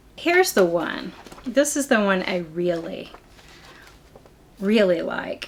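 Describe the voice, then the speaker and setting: Over noticeable background noise, a woman with a medium pitch speaks at a very slow pace. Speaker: knitting podcaster. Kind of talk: casual vlog chat. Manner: informal, chatty.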